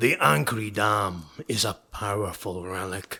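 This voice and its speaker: A man puts on a raspy character voice with a fairly low pitch. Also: fairly slow pace, ordinary pitch variation. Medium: read story. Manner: hard, scornful.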